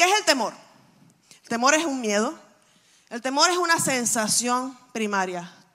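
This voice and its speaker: A woman talks in a high pitch with an animated tone and very wide pitch swings. Her pace is fairly slow, with long, frequent pauses. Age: 40s. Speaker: pastor. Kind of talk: sermon.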